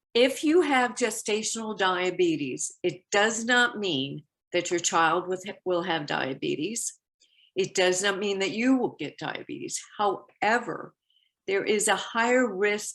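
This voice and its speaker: A woman with a plain, everyday voice and medium pitch speaks at a fairly slow pace with lively intonation against a quiet background. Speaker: diabetes health educator. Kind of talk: health education talk.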